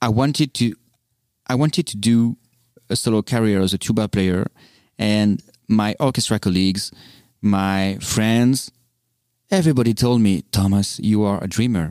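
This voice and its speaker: With a French accent, a man talks at a moderate pace in a fairly low pitch with ordinary pitch variation and long, frequent pauses. The recording is very clean and dry, with a close sound, no echo and a silent background. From France. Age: 30s. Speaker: tuba soloist. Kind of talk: casual interview. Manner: halting, hesitant.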